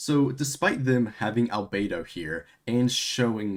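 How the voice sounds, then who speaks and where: A man's voice at a medium pitch. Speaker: gaming streamer. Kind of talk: livestream reaction commentary. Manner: fast; animated.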